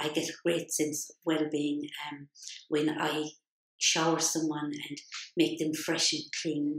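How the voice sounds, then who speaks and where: A woman with a Limerick accent speaks at a very slow pace in a very deep, low pitch and a monotone, flat intonation. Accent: Irish (Limerick). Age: 60s. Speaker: healthcare assistant. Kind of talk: personal testimony. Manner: hesitant, many fillers.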